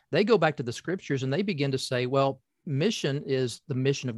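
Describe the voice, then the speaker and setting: Lively intonation in an American accent at a moderate pace. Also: man. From US South, Appalachian southeastern Kentucky. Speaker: professor and pastor. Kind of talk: casual interview conversation. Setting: office. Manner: halting, many fillers.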